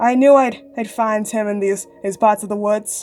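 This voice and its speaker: Using a put-on character voice, a woman speaks at a moderate pace and a fairly high pitch. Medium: read story.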